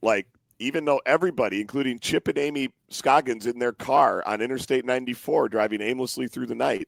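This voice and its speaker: Very clean with a silent background and a dry, close sound with no echo, the recording holds a man of medium pitch talking at a fairly quick pace with ordinary pitch variation and vocal fry. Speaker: sports podcast host. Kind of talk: host-read ad; casual sports chat.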